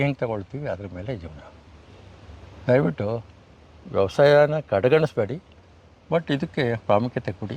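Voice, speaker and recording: A man talks with lively intonation at a medium pitch. He has an ordinary speaking voice. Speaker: retired education officer and farmer. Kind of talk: interview.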